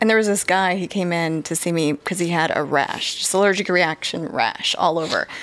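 Here is a woman with a plain, everyday voice and an American accent, pitched fairly low. She moves at a fairly quick pace with hardly any pauses and fairly even intonation. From California, San Diego area; California. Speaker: physician associate doing cosmetic injections; guest. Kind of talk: casual chat. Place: studio. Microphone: studio mic.

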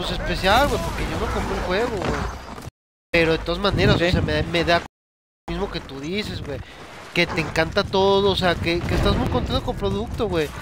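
Speaking at a moderate pace, a man with a Mexican accent has an animated tone. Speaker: gaming streamer. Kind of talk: casual chat. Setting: live stream with online party chat.

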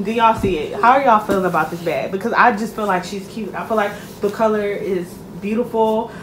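A woman talking at a fairly quick pace, with audible room echo and light background noise. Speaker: shopping vlogger. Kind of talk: casual product review chat. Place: home room. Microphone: phone near.

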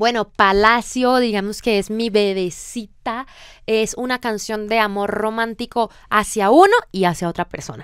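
A woman with an unremarkable speaking voice talks fairly slowly at a fairly high pitch, her intonation fairly even. The background is quiet and the sound dry with no echo. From Colombia. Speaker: singer-songwriter; guest. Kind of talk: radio interview. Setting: radio studio. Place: studio. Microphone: studio mic.

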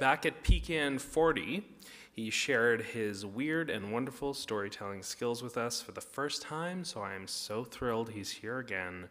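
A man at medium pitch, fairly slow in pace, with lively intonation. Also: fairly bright tone.

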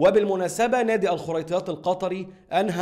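A man with lively intonation at a fairly quick pace, over a quiet background. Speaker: sports news vlogger. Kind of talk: commentary.

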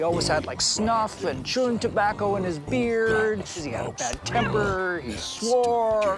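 Clear music plays in the background of a dry sound with no echo. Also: man. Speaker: local storyteller interviewed by host. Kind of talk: interview answer. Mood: amused, animated storytelling. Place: street.

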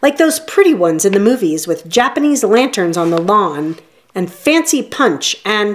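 Spoken in a natural reading voice

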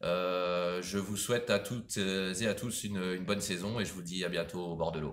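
At a moderate pace, a man talks with a very deep, low pitch and fairly even intonation. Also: hardly any pauses. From France, Maine-et-Loire (Anjou); France. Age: 40s. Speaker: sponsored angler. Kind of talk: self-introduction video. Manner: hesitant, with fillers and repetitions. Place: shop. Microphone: phone near.

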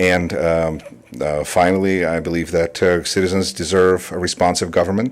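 Very deep, low male voice in a Russian accent, at a moderate pace with fairly even intonation. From Russia (Moscow), in US since 1988. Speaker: public commenter, council seat candidate, speech instructor. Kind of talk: public comment at council meeting. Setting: city council chamber. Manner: hesitant, many fillers.

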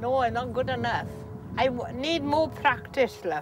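With a South Welsh accent, a woman talks at a fairly slow pace over clear background music, the sound dry with no echo. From south Wales. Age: 80s+. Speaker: farmer. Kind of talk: casual chat. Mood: blunt, gently scolding. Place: farm machine.

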